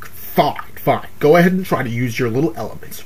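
A man does a put-on character voice at a moderate pace, with clear background noise behind him. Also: medium pitch for a man. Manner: mocking, theatrical, impatient.

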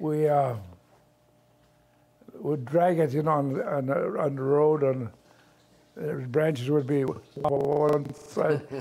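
A man's fairly even intonation at a very slow pace, with long, frequent pauses and noticeable background noise. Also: fairly high pitch for a man. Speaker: grandfather recalling childhood. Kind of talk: interview answer.

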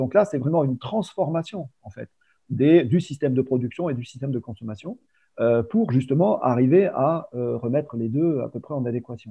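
Against a quiet background, a man with a plain, everyday voice talks at a moderate pace and medium pitch with lively intonation. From Provence, France. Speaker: water industry business developer, chemist. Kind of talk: interview conversation. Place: home room. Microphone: video call.

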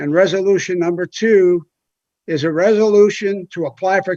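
Recorded dry and close with no echo, a man with an American accent speaks at a high pitch. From US Midwest, Ohio. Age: 70s. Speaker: mayor. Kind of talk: council meeting report. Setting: city council meeting.

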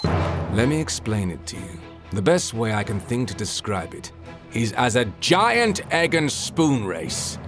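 Music plays in the background as a man with a fairly low pitch speaks at a fairly slow pace, with very wide pitch swings and big swings in loudness. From Southern England. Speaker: voice actor. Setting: home studio.

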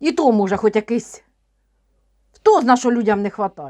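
A woman at a moderate pace, recorded with a dry, close sound and no echo. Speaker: tarot reader and witch vlogger. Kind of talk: casual monologue vlog with tarot reading.

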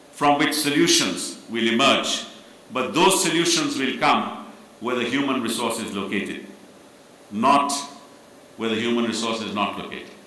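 A man speaks at a moderate pace with ordinary pitch variation and long, frequent pauses. Audible room echo surrounds the voice. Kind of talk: formal speech. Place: hall. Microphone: podium.

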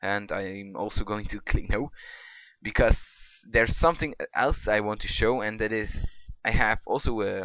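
The speaker is a man with a non-native accent. He talks at a moderate pace. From Belgium. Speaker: hobby game programmer. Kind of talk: casual screen-recorded software demo.

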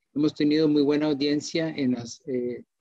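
Over a quiet background, a man with a Costa Rican accent speaks at a fairly slow pace, his pitch fairly high and his intonation fairly even. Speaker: pharmacist and webinar moderator; webinar moderator. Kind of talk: live webinar moderation. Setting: live online stream. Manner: hesitant, many fillers. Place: home room. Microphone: video call.

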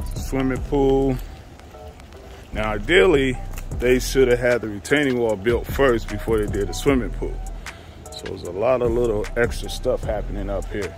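Over clear background music, a man speaks at a moderate pace with long, frequent pauses, and the sound is dry with no echo. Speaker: construction contractor. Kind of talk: casual site walkthrough commentary. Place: garden. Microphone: phone near.

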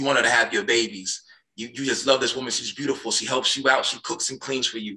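Over a quiet background, a man with an American accent talks at a very fast pace in an animated tone. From US Midwest. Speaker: podcast host; podcast guest. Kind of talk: heated debate. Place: home room. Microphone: video call.

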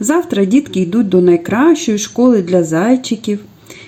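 The intonation is lively as a passage is read aloud in a natural voice.

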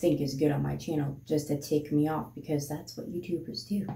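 A woman talks at a fairly quick pace. There is light background noise and audible room echo. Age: 30s. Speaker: vlogger. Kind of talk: casual chat. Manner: rambling, fast. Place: home room. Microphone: phone near.

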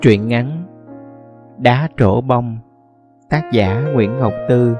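Over background music, a man at medium pitch speaks at a very slow pace with ordinary pitch variation. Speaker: audiobook narrator. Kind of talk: short story reading.

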